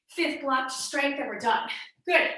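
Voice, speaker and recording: In a room with audible echo, a woman projects a raised, high-pitched voice with a bright, sharp, energetic tone at a fairly slow pace. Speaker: fitness instructor. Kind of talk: workout instruction. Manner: energetic, coaching.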